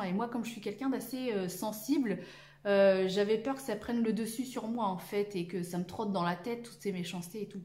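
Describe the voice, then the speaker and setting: A woman speaks at a fairly quick pace with ordinary pitch variation. There is noticeable background noise and audible room echo. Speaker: sewing YouTuber. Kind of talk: casual vlog monologue. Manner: halting, many hesitations.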